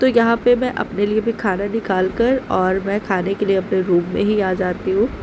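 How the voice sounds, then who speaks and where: Fairly even female intonation over noticeable background noise. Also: medium pitch for a woman, moderate pace. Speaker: vlogger, housewife. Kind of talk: casual vlog narration. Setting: at home.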